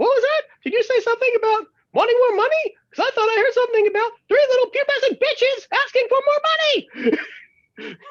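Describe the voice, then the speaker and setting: A put-on character voice talks at a very fast pace in an extremely high pitch. Long, frequent pauses break it up. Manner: mocking, scolding.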